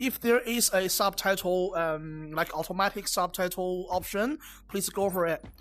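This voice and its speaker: A woman with a Chinese accent speaks at a medium pitch with lively intonation in a very clean recording over a silent background. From China. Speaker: VR game reviewer. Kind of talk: game review with gameplay demo. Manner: halting, many fillers and repeats.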